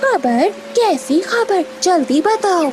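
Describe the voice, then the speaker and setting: An extremely high-pitched, female-sounding voice performs a cartoonish character. Background noise is clearly audible. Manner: greedy, gloating.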